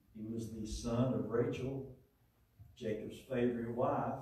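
Strong room echo surrounds a man talking at a very slow pace with ordinary pitch variation. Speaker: lay preacher. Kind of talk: sermon. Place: church.

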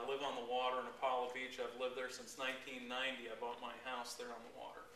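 A man talks amid light background noise, and audible room echo follows his words. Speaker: fishing guide giving a talk. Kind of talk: informal talk to a club. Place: meeting room. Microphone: camera far.

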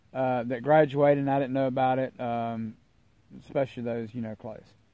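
A man talks at a moderate pace. The background is quiet and the sound is dry, with no echo. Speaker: vlogger. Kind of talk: casual vlog chat. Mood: relaxed, friendly. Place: garden. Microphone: phone near.

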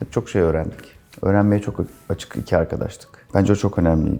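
The speaker moves at a fairly quick pace with fairly even intonation. Noticeable background noise runs underneath. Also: man. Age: 40s. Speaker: company CEO. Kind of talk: interview.

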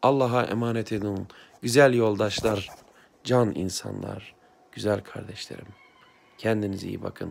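A man speaks at a fairly slow pace with long, frequent pauses and a fairly low pitch. His intonation stays fairly even while his loudness swings widely. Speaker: blind aspiring writer, former teacher; former teacher. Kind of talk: heartfelt address to camera. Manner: emotional, impassioned. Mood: heartfelt, conciliatory, emotional. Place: home room. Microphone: phone near.

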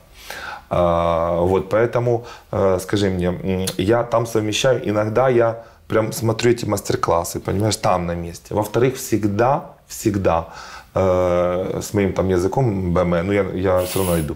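With a fairly low pitch and ordinary pitch variation, a man speaks at a fairly slow pace. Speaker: fashion designer and agency director. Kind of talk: casual interview chat. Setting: studio. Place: studio.

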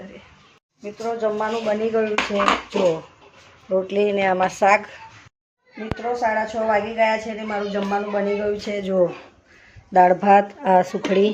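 An unremarkable speaking voice from a woman, medium in pitch, with fairly even intonation and big swings in loudness. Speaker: family vlogger. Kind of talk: casual vlog narration. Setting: at home. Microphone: no microphone, phone recording.

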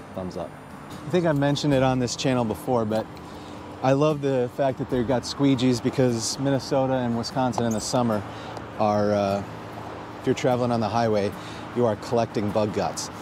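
Music plays behind a fairly quick voice with fairly even intonation, the sound dry and without echo. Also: man. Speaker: EV channel host. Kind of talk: casual vlog chat. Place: street. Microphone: lapel.

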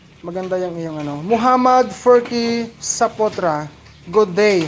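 The speaker goes at a fairly slow pace with ordinary pitch variation, over noticeable background noise. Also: man. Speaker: pig farmer and farming vlogger. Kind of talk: casual farm vlog with live shout-outs. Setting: outdoors on a pig farm. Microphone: handheld camera, shaky without stand.

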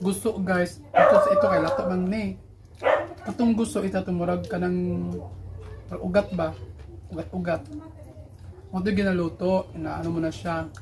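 With noticeable background noise, a woman talks at a moderate pace, with long, frequent pauses. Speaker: vlogger. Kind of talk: casual chat.

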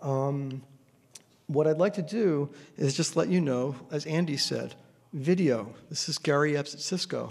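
A man's plain, everyday voice, fairly high in pitch, at a fairly slow pace with ordinary pitch variation. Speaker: engineering professor. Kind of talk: panel discussion. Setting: stage with audience. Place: hall. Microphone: podium.

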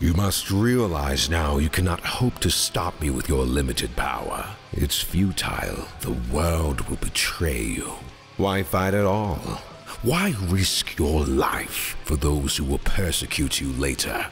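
A man puts on a character voice pitched very deep and low, speaking at a fairly slow pace. Background noise is clearly heard. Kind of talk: dramatic villain monologue turned comedic. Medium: fan dub. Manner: cold, menacing, condescending; flustered, defensive.

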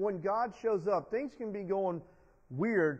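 Speech comes at a fairly slow pace against a quiet background. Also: man. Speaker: preacher. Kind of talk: sermon. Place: church.

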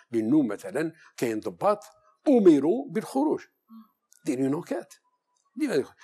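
Against a quiet background, a man speaks with vocal fry and a dark, mellow tone, his pitch swinging very widely. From Algeria. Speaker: security expert, former intelligence officer; guest. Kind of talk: TV interview. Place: studio. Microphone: lapel.

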